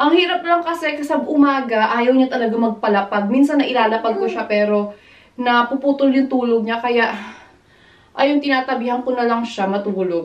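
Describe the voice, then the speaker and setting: Fairly quick, lively speech from a woman at a fairly high pitch, over noticeable background noise. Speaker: vlogger, mother. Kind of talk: casual vlog talk. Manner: animated.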